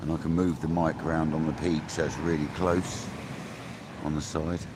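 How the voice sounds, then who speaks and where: A man with an English accent mumbles quietly in a very deep, low voice at a moderate pace, with monotone, flat intonation and very even loudness. Noticeable background noise and audible room echo fill the recording. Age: 40s. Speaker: fishing livestreamer. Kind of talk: live stream chat. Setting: outdoors by a river. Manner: mumbling.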